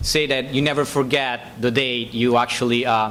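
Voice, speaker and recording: A man with a medium pitch talks at a moderate pace in fairly even intonation over noticeable background noise. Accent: Italian. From Italy. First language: Italian. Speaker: software engineer. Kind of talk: public speech. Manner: halting, many fillers.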